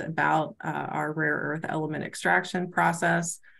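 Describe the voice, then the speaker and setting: A woman talks at a moderate pace. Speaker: research presenter. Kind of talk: virtual seminar presentation.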